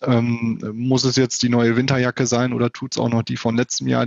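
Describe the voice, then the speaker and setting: A man's medium-pitched, flat monotone delivered at a fairly quick pace. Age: 30s. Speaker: wealth advisor. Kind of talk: interview. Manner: hesitant with filler sounds.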